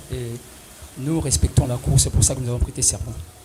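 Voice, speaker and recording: A man speaks fairly quickly at a medium pitch. His pitch swings very widely, and there is noticeable background noise. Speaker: defense lawyer. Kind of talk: courtroom pleading. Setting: courtroom. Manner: loud.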